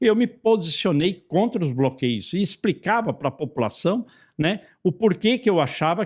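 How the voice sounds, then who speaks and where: His pitch swings very widely as this man talks. The recording is very clean, with a silent background. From Santa Catarina, southern Brazil. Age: 60s. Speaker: federal congressman. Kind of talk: interview. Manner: hesitant, with repetitions.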